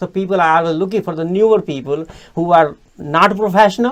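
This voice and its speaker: A man with an Indian accent talks at a fairly quick pace in a high voice. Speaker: podcast host. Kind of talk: interview. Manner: halting.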